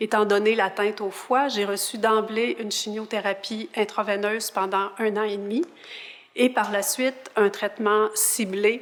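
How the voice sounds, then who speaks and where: Fairly high in pitch, a woman speaks with an unremarkable speaking voice. Her intonation is fairly even and her pace fairly slow. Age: 60s. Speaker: patient partner. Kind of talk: interview introduction.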